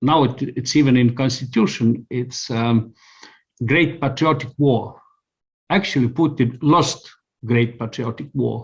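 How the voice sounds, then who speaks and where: A man speaks with an Estonian accent at a fairly slow pace. His voice is somewhat breathy, with ordinary pitch variation. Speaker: communications consultant. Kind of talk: interview answer.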